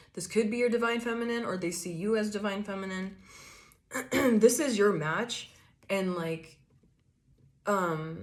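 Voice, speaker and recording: Audible room echo surrounds a woman speaking at a medium pitch with ordinary pitch variation. She goes at a fairly slow pace with long, frequent pauses. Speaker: tarot reader. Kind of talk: tarot reading. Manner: casual, animated.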